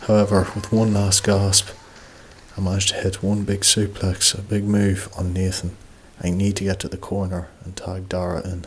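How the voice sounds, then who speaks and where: Speaking at a moderate pace with an Ulster border accent, a man keeps a fairly low pitch in a monotone, flat intonation. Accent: Irish, Ulster-border. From Ireland, County Monaghan. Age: 20s. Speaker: pro wrestler. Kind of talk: documentary narration and casual chat.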